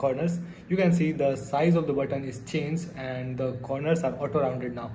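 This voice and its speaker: Noticeable background noise and audible room echo surround a man speaking at a moderate pace, his voice fairly high with ordinary pitch variation. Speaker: programming tutorial youtuber. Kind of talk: tutorial. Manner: hesitant, many fillers.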